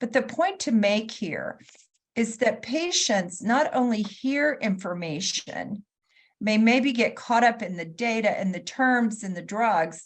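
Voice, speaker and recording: In a fairly high pitch, a woman speaks with lively intonation and a somewhat breathy sound. Her pace is fairly slow. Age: 60s. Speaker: patient advocate and health consultant. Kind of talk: conference talk.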